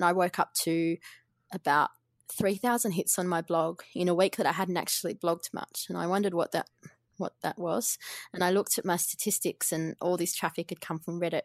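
A woman with a fairly low pitch speaks at a fairly quick pace with fairly even intonation, in a dry, close recording with no echo, very clean and over a silent background. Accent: Australian. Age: 30s. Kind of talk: interview. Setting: podcast.

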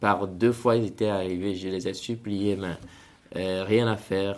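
A man talks at a fairly low pitch in a monotone, flat intonation. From Togo. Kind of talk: interview testimony.

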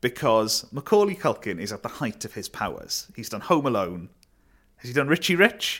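A man with a South Wales accent at a medium pitch and a fairly quick pace, with very wide pitch swings, big swings in loudness, and a very clean recording over a silent background. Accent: Welsh (South Wales). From Wales (Neath). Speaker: comedian and comedy writer. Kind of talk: casual chat.

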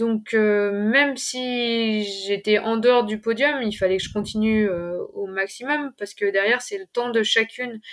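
The speaker talks at a fairly slow pace with ordinary pitch variation, in a very clean recording with a silent background. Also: woman. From eastern France (Ain). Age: 20s. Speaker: trail runner, PE teacher. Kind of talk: interview. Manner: halting.

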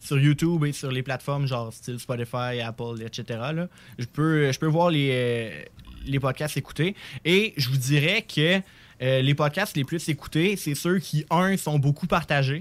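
Recorded very cleanly against a silent background, a man with an unremarkable speaking voice talks at a fairly slow pace, his pitch fairly high with ordinary variation. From Quebec City. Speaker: student podcaster. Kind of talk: casual chat.

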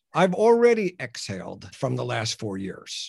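There is a quiet background as a man speaks. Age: 60s. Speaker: entrepreneur and business coach. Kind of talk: interview.

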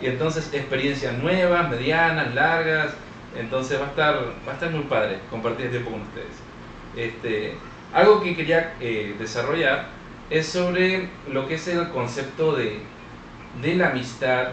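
He talks at a moderate pace and a fairly high pitch. This man's pitch varies in an ordinary way, with noticeable background noise behind him. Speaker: podcast co-host. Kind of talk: casual chat.

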